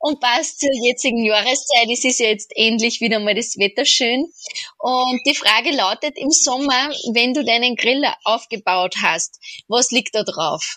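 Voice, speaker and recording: A woman's high-pitched voice, fairly slow, with ordinary pitch variation and a dry, close sound with no echo. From Austria. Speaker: podcast co-host interviewing. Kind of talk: interview.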